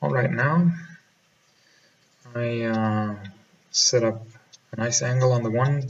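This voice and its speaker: A man's somewhat breathy, medium-pitched voice at a fairly slow pace, with ordinary pitch variation, long and frequent pauses, and audible room echo. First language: German. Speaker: pool player and instructor. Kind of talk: voiceover commentary. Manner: halting.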